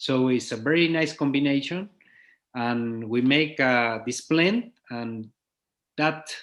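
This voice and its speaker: Someone with a Spanish accent talks at a very slow pace, with ordinary pitch variation. The recording is very clean, and the background is silent. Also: man. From Chile. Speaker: winemaker. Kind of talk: interview. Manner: halting.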